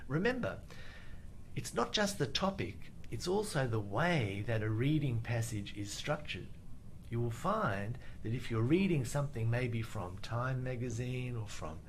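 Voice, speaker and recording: A somewhat breathy man with an Australian accent, medium in pitch, with lively intonation at a moderate pace, amid audible room echo. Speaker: IELTS teacher. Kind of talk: live Q&A webinar. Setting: Facebook live stream.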